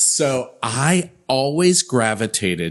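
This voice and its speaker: This man's medium-pitched voice has vocal fry. His pitch swings very widely. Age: 50s. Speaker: events company CEO. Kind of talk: interview.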